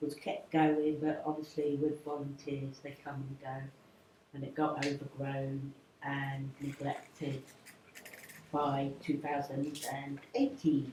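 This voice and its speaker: A woman speaks very slowly in a very deep, low, somewhat breathy voice with a dark, mellow tone. Her intonation is flat and monotone, and there is audible room echo. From Jersey. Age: 60s. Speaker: community garden volunteer. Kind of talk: public talk. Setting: town hall event with audience.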